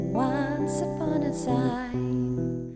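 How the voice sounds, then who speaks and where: There is noticeable background noise throughout. Over it, a woman talks. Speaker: book reviewer. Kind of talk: casual talk to camera. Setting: outdoors.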